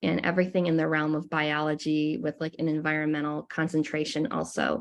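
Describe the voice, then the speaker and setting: A woman speaks at a fairly low pitch. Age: 20s. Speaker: college student and environmental club leader. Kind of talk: presentation over video call. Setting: video call. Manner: hesitant, frequent ums.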